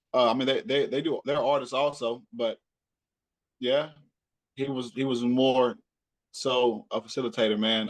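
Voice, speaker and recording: This man talks at a medium pitch with a Southern US accent. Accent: Southern US accent, medium strength. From Texas, Hillsboro area near Dallas. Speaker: rapper and podcaster. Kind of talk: interview. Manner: casual, repetitive stammering restarts.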